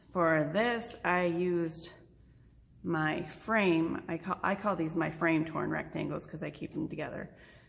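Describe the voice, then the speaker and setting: Fairly low and touched with vocal fry, a woman's voice moves with fairly even intonation. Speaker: crafting tutorial host. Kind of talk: tutorial. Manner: soft-spoken. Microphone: too quiet, no proper microphone yet.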